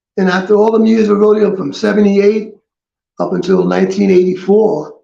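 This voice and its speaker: In an American accent, a man with a high pitch and a dark, mellow tone speaks at a fairly quick pace with monotone, flat intonation, with audible room echo. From New York City. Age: 70s. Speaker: retired rodeo cowboy. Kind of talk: interview. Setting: studio.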